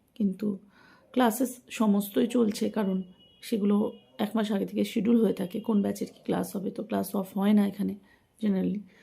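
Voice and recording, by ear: The voice has a dark, mellow tone with a slightly husky edge, vocal fry, and fairly even intonation. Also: woman.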